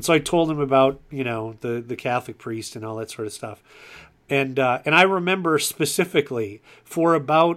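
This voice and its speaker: This man has a normal speaking voice with fairly high pitch and ordinary pitch variation, at a moderate pace. The recording is very clean, with a silent background. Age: 40s. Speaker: podcast host. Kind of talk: casual interview chat.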